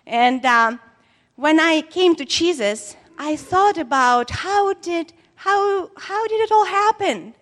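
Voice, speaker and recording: At a very slow pace, a woman talks at an extremely high pitch with very wide pitch swings. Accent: non-native. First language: not English. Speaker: preacher. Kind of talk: sermon. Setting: church. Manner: halting.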